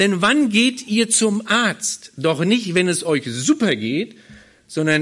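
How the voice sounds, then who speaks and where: The man's voice is high-pitched, with very wide pitch swings. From Berlin, Germany. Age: 40s. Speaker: pastor. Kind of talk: sermon. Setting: church.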